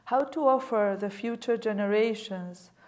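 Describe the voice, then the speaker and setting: A woman with a non-native accent and fairly high pitch at a very slow pace, with audible room echo. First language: not English. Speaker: museum director, guest lecturer. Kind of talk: lecture. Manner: reading aloud from prepared text.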